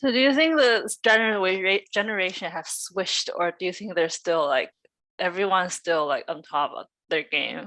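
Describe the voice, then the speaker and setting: Against a quiet background, a bright, sharp voice speaks at a moderate pace with lively intonation. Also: woman, medium pitch for a woman. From Canada. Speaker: esports interviewer. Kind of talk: interview. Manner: halting.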